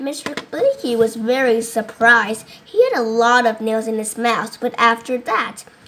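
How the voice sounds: The speaker uses a natural reading voice with fairly even intonation.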